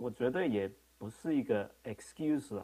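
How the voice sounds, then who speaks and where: Speaking at a fairly slow pace with a non-native accent, a man holds a medium pitch. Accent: non-native Mandarin. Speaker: internet governance board member and registry CEO; remote panelist. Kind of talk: panel response. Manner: halting. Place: home room. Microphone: video call.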